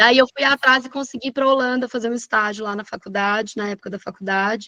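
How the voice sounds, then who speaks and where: A woman speaks at a moderate pace with a fairly high pitch and fairly even intonation. Her tone is bright and sharp, and the sound is dry and close with no echo. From Brazil, interior of Minas Gerais (Lavras). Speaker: landscape agronomist and university professor. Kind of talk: interview.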